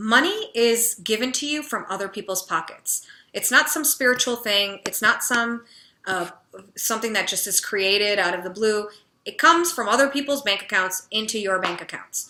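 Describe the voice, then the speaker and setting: A woman speaks loudly and animatedly at a moderate pace, her intonation lively. Her fairly high voice has a bright, sharp tone. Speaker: confidence and business coach. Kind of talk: motivational talk to camera.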